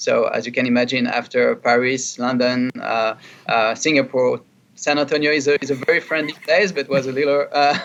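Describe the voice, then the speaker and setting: A man with a fairly high pitch and a French accent, at a moderate pace with fairly even intonation. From France. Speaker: chief marketing officer. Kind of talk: interview. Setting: studio. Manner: halting, many fillers and repeats.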